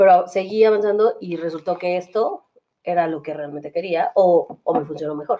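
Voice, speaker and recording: With a Mexican accent, a woman speaks at a moderate pace and a fairly low pitch with ordinary pitch variation. Her loudness swings widely. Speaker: podcast host. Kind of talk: casual chat. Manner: halting.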